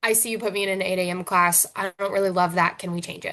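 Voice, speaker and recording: Against a quiet background, a woman speaks. Her pace is fairly quick. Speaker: university first-year advisor. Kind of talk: informational presentation. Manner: fast.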